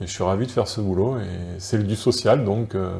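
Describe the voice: A man with a dark, mellow tone and vocal fry speaks at a moderate pace and a fairly low pitch, using ordinary pitch variation.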